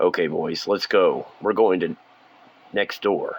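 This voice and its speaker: At a fairly slow pace, a man delivers his lines in a raspy, put-on character voice. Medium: read story. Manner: blunt, commanding.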